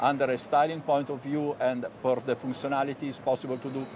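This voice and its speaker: This man speaks with an Italian accent at medium pitch and a fairly quick pace, his intonation monotone and flat. Background noise is noticeable throughout. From Italy. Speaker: hair loss company executive. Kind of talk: TV business interview. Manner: halting.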